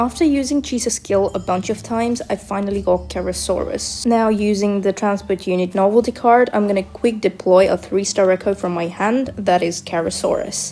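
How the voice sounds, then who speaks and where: Speaking at a moderate pace with hardly any pauses, a woman with a non-native accent has a medium pitch and ordinary pitch variation, with noticeable background noise behind her. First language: not English. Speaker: gaming video creator. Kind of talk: tutorial.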